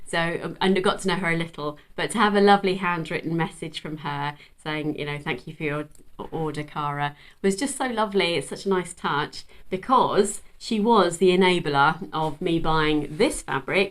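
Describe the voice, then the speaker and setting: In a very clean recording with a silent background, a woman speaks with an English accent at a fairly low pitch. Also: ordinary pitch variation, moderate pace. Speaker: sewing vlogger. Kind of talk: casual chat. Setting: at home. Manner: animated.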